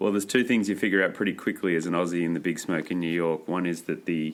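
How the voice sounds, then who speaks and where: A man with an Australian accent and a very deep, low pitch speaks very fast with fairly even intonation, in a very clean recording with a silent background. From Australia, Maitland near Newcastle NSW. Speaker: environmental organisation chief of staff, former political staffer. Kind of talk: podcast interview. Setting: office in New York.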